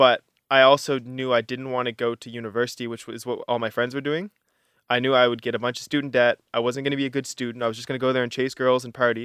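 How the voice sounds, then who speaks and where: A man talks very fast at medium pitch in a flat monotone, with big swings in loudness and a dry, close sound with no echo, in a very clean recording with a silent background. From Canada, Halifax, Nova Scotia. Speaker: ultramarathon runner. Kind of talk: interview.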